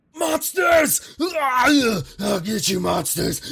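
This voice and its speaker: Shouting in a put-on character voice, a man hits an extremely high pitch with very wide pitch swings. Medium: actual play. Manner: panicked, paranoid shouting.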